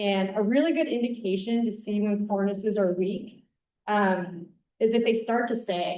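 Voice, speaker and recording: Amid audible room echo, a woman with a slight Wisconsin accent talks at a moderate pace in a dark, mellow tone, with medium pitch and ordinary pitch variation. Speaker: avalanche safety educator. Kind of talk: conference presentation. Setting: conference room with audience. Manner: casual, many fillers.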